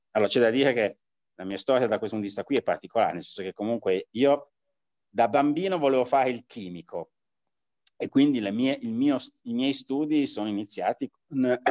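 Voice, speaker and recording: Against a quiet background with a dry sound and no echo, a man speaks at a fairly quick pace with long, frequent pauses and ordinary pitch variation. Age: 60s. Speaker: martial arts teacher; martial arts teacher interviewed. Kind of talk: interview. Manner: halting, many fillers. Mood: relaxed, reflective. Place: home room. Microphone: video call.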